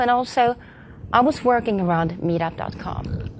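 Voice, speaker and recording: This woman speaks at a fairly slow pace, her intonation lively. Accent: Swedish. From Sweden. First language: Swedish. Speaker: community manager. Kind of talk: conference talk. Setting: stage with audience. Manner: halting.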